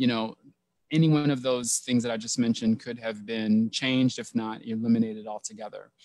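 A man with an American accent speaks at a moderate pace. The sound is dry with no echo, and the background is quiet. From US South. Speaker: counseling professor. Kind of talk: panel discussion. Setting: video call. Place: home room. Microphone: headset.

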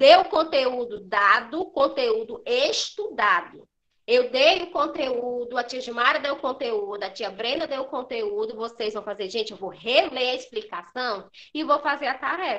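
Her high pitch and lively intonation carry as the woman speaks at a fairly slow pace. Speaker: primary school teacher. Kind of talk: lecture to pupils in an online class. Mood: firm, admonishing. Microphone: webcam.

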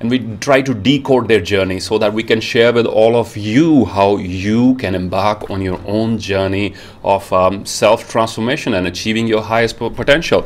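Speaking at a moderate pace with hardly any pauses, a man uses a fairly low pitch and ordinary pitch variation. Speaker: show host. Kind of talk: interview introduction. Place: home room. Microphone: earbuds.

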